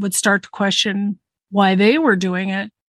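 A woman with a plain, everyday voice speaks at a medium pitch and a moderate pace with an American accent against a quiet background. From Southern California. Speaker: mediator, guest sharing life experience. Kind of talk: casual chat.

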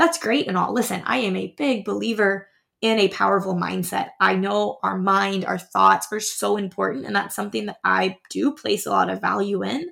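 A woman speaks with hardly any pauses. The recording is very clean, with a silent background. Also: moderate pace. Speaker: podcast host and high school teacher. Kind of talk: heartfelt motivational pep talk addressed directly to the listener. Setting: studio. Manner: warm, earnest and reassuring, piling up affirmations; gently urging, repetitive exhortations like a cheering friend.

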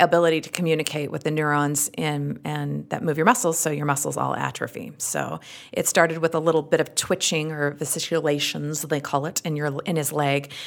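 A strong Utah accent with vocal fry, fairly even intonation and a fairly quick pace, on a very clean recording with a silent background. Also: woman. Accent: thick Utah. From Utah, US. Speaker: actress, comedian and podcast host. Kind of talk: casual interview chat.

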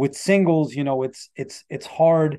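A man speaks with a New York accent in a fairly high pitch, with a dark, mellow tone. His pace is moderate, the pitch varies in an ordinary way, and the background is quiet. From New York City, Rockaway Beach, Queens. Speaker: rapper. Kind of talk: interview conversation. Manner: halting.

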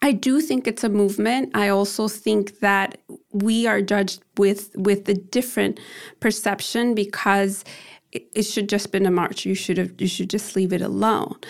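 Over a very clean recording with a silent background, a woman with an American accent uses a normal speaking voice at a medium pitch, moderate pace, and fairly even intonation. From US Midwest, Chicago. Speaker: activist and event organizer. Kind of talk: interview.

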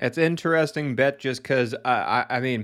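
A man at medium pitch. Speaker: sports betting podcast host. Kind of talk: casual chat. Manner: animated.

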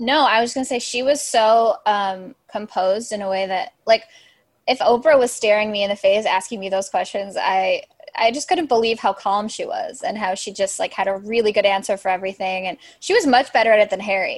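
A woman with an American accent speaks fairly quickly and at a fairly high pitch, with ordinary pitch variation. Hers is a plain, everyday voice. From Chicago suburbs. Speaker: writer. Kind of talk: casual chat.

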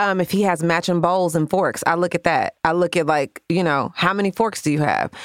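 A woman with a fairly low voice and a normal speaking voice talks at a fairly quick pace with hardly any pauses. Her loudness stays very even and her intonation fairly even, in a dry, close sound with no echo. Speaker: podcast co-host. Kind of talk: casual chat with relationship advice.

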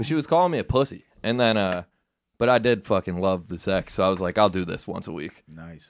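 With a plain, everyday voice and an American accent, a man speaks at a fairly quick pace in a fairly low pitch, using lively intonation and big swings in loudness in a very clean recording with a silent background. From upstate New York, near Syracuse. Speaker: comedian. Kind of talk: casual chat.

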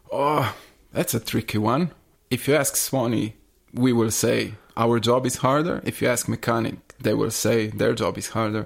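A man with a non-native accent at a medium pitch and moderate pace, with vocal fry and ordinary pitch variation. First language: not English. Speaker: soigneur. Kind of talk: casual interview chat.

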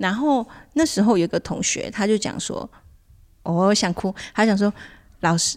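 On a very clean recording with a silent background, a woman speaks at a moderate pace with a medium pitch. Her pitch varies in an ordinary way, and she leaves long, frequent pauses. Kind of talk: casual chat.

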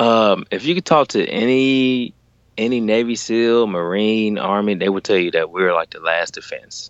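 The speaker has a Southern US accent and talks at a moderate pace. Pitch varies in an ordinary way. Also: man, medium pitch for a man. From Alabama. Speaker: active-duty Navy sailor. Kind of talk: casual chat. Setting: remote call from a closet at home.

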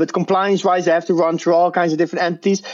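In a Dutch accent, a man speaks with a high pitch. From Netherlands. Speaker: crypto trader. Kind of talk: interview. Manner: halting.

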